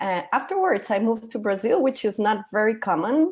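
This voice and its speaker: A woman with a Costa Rican accent, at a moderate pace. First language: Spanish. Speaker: gender equality consultant. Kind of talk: interview.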